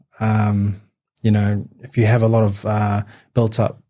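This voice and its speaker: Speaking with a New Zealand accent, a man uses a medium pitch and a dark, mellow, somewhat breathy tone. He goes at a fairly slow pace. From New Zealand, West Auckland (partly raised in Newcastle, England). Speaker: amateur boxer. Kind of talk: podcast interview. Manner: halting, many fillers.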